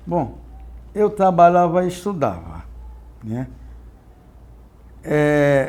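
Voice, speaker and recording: Speaking at a very slow pace, a man uses lively intonation amid audible room echo. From Brazil, Sergipe (Northeast). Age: 70s. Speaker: retired navy petty officer. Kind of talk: oral history interview. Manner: halting, with repetitions.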